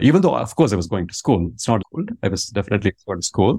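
With a Tamil accent, a man speaks at a fairly low pitch in a dark, mellow tone. The sound is dry and close, with no echo. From India, Tamil Nadu. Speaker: business school professor. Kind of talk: interview conversation.

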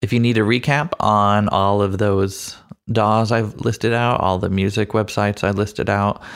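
With an ordinary speaking voice, a man talks at a fairly slow pace with fairly low pitch and ordinary pitch variation in a very clean recording with a silent background. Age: 30s. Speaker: podcast host and audio producer. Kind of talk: casual chat.

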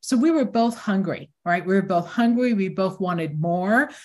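This woman speaks with an American accent at a fairly slow pace, sounding somewhat breathy. The recording is very clean, with a silent background. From Newark, New Jersey. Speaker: tech company founder. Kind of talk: interview.

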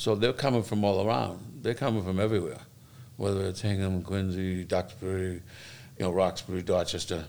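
Moving at a fairly quick pace, a man speaks in a fairly low pitch with fairly even intonation. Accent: Boston. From Boston, Massachusetts (South Boston). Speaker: fire lieutenant and recovery advocate. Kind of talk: interview.

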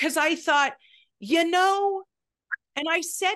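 A woman's raised, projected voice in an American accent, bright and sharp in tone, very slow in pace, over a quiet background. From California (Berkeley). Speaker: matchmaker. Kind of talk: casual chat.

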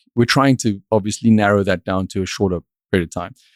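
This is a man speaking. He has a South African accent. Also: dry, close sound with no echo, very clean recording, silent background. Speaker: finance company CEO. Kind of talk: interview conversation.

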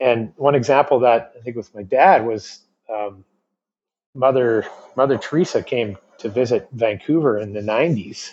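Big swings in loudness mark a man's unremarkable speaking voice at medium pitch. He keeps a moderate pace with ordinary pitch variation. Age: 40s. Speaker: entrepreneur. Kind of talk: interview conversation.

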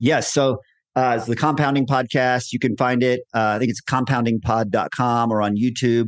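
A man with a normal speaking voice, medium pitch, fairly even intonation and a moderate pace, against a quiet background, the sound dry and close with no echo. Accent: American. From Texas. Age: 50s. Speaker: entrepreneur. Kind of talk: interview conversation.

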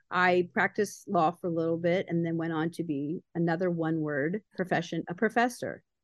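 A woman with an American accent, an ordinary speaking voice, fairly low pitch, fairly even intonation, a moderate pace and hardly any pauses. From Baltimore, Maryland. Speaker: entrepreneur and motivational speaker. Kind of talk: casual chat.

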